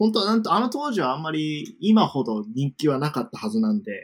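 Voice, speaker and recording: At a moderate pace, a man talks in a fairly high pitch that swings very widely. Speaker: former university student in the UK. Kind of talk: casual interview chat. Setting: online call.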